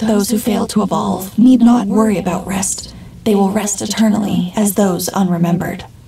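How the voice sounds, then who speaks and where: A female-sounding voice in a put-on character style is soft-spoken and guttural at medium pitch, moving at a moderate pace over clear background noise. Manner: contemptuous, menacing.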